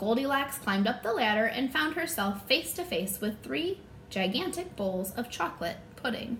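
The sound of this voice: What comes through is an unforced reading voice.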